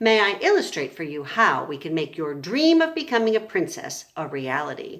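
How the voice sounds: The reading voice is natural. That voice carries the recording.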